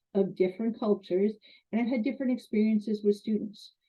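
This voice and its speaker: Somewhat breathy, a woman with a Canadian accent speaks at a fairly high pitch with ordinary pitch variation. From Canada. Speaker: college instructor. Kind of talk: lecture.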